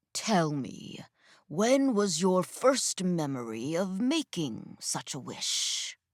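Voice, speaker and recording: A woman puts on a character voice at a medium pitch, speaking very slowly with very wide swings in pitch. The recording is very clean, with a silent background. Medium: read story. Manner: calm, commanding.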